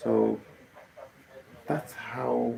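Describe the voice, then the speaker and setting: A man with a Kenyan accent speaks over noticeable background noise. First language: Kikuyu. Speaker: musician. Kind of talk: casual live stream talk. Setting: live stream. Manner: halting, many fillers.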